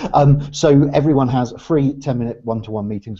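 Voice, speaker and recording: A man speaks in an Oxfordshire accent at a fairly quick pace. His tone is dark and mellow, with ordinary pitch variation. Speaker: business networking organisation director. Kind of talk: interview conversation. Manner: hesitant, many fillers.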